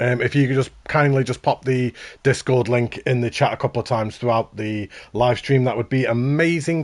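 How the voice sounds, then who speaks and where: In a Stoke accent, a man speaks at a medium pitch. He keeps a fairly quick pace against a quiet background. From England, Stoke-on-Trent. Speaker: gaming streamer. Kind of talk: live stream commentary.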